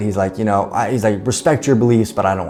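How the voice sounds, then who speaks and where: A man with an American accent talks while noticeable background noise carries on. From United States. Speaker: entrepreneur, podcast host. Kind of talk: personal story told to camera. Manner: casual, conversational.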